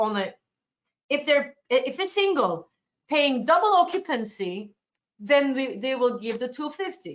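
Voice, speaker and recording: Speaking fairly slowly with a Turkish accent, a woman with a high voice moves through very wide pitch swings. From Turkey, Ankara. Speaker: cruise line sales representative. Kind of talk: webinar presentation Q&A. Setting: online webinar.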